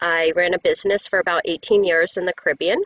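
Using a plain, everyday voice, a woman speaks at a fairly low pitch and moderate pace with fairly even intonation. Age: 50s. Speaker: yoga teacher and recovery coach. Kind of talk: interview testimony.

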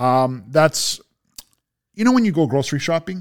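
A man with a Toronto accent speaks in an animated tone at a moderate pace. His voice is fairly high, with lively intonation. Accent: Canadian (Toronto) English. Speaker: food reviewer on social media. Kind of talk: casual interview chat. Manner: animated, rambling storytelling.

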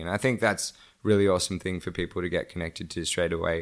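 With an Australian accent, a man speaks at a very deep, low pitch. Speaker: solar energy entrepreneur. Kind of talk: interview. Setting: podcast recording. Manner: halting, many fillers.

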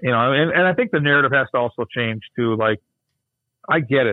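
This is a man talking. He has an Upper Midwest accent. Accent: Upper Midwest (Minnesota). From Minnesota (Burnsville). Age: 50s. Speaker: hockey broadcaster. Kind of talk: casual chat.

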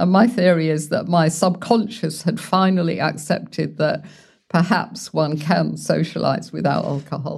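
Speaking in a London accent, a woman uses a fairly low pitch with ordinary pitch variation and vocal fry at a moderate pace. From London, England. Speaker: founder of a sobriety support community. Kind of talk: interview.

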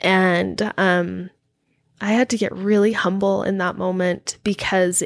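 A woman speaks in a monotone, flat way with an American accent. The recording is very clean, with a silent background. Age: 40s. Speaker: guest sharing faith-leaving story. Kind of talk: casual interview chat.

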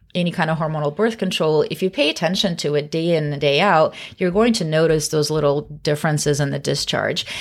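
A woman speaks with an American accent and ordinary pitch variation, captured in a very clean recording with a silent background. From US Pacific Northwest. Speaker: OB-GYN doctor. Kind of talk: casual educational chat. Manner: fast. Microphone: very close to the microphone.

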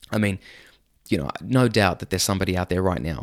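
In an Australian accent, this voice has an animated tone and ordinary pitch variation at a very fast pace. The recording is very clean, with a silent background. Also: man. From Sydney, Australia. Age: 30s. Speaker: podcast host. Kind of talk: casual monologue. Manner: animated, laughs often.

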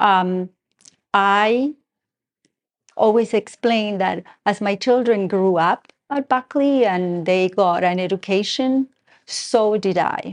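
A woman speaks in a slight Argentine accent at medium pitch with ordinary pitch variation. Her pace is very slow, with long, frequent pauses. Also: dry, close sound with no echo. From Argentina. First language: Spanish. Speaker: school parent and board member. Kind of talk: interview. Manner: halting, many fillers.

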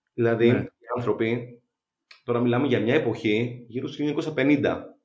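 A man at medium pitch speaks fairly slowly with ordinary pitch variation. Audible room echo surrounds his voice. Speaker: biochemist and runner. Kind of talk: interview.

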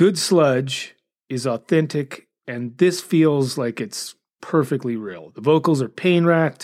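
The very slow speech comes through a very clean recording with a silent background. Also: man. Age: 50s. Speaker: podcast host and music reviewer. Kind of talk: casual monologue with album reviews. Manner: occasionally stumbles over words.

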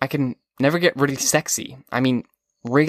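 Reading aloud in a natural voice, the speaker keeps a fairly even intonation against a quiet background.

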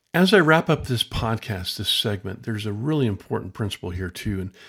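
In an ordinary speaking voice, a man talks at a fairly quick pace with lively intonation and a fairly low pitch, on a very clean recording with a silent background. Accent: American. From US West Coast, Lawndale, California. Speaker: podcaster, storyteller. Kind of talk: personal storytelling monologue.

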